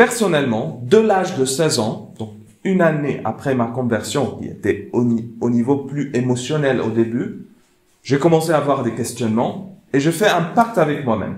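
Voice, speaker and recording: With a non-native accent, a man speaks at a moderate pace with a fairly high, somewhat breathy voice, and room echo is audible. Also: lively intonation. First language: not French (speaking French). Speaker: theologian and speaker. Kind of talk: lecture. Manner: halting.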